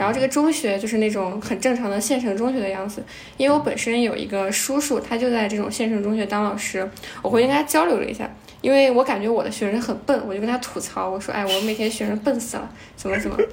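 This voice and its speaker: Talking very fast at a fairly high pitch with ordinary pitch variation, a woman is heard against noticeable background noise. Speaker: volunteer teacher. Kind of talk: casual chat.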